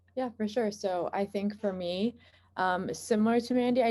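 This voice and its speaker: With ordinary pitch variation, a woman talks in a plain, everyday voice. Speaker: medical student. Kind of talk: panel discussion.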